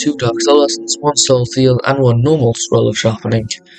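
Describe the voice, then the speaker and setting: Over music in the background, a man speaks at medium pitch. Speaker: gaming youtuber. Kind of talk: tutorial. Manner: halting, many fillers and restarts.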